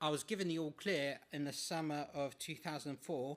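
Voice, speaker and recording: With an English accent, a man speaks at a moderate pace and a fairly high pitch. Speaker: patient speaker. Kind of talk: talk to an audience. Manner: halting.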